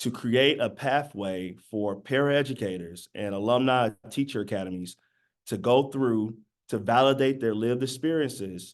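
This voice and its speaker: With an American accent, a man speaks at a medium pitch and moderate pace over a quiet background. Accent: Southern twang, slight, comes up sometimes. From US South, Birmingham, Alabama. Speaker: educator, teacher pathway program founder. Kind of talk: panel presentation. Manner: casual, with many fillers.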